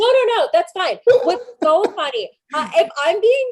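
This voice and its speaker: A woman speaks at a very slow pace. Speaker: comedy podcast co-host. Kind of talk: casual chat. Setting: live-streamed video show. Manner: hesitant, many fillers.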